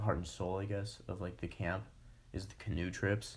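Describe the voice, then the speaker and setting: A man's very deep, low, somewhat breathy voice at a moderate pace, monotone and flat in intonation. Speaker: podcast host. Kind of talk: casual chat. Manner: halting.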